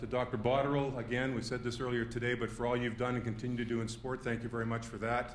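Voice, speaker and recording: In a room with audible echo, a man at medium pitch rattles off his words at a very fast pace in a flat monotone, with hardly any pauses. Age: 50s. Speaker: sports administrator. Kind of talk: thank-you speech. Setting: lecture hall with audience.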